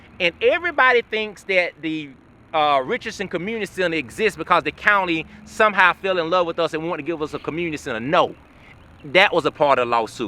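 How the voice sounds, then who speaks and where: A very fast, animated man's voice, high-pitched with lively intonation and a bright, sharp tone, in a dry, close sound with no echo. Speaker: local historian and community developer. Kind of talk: documentary tour narration.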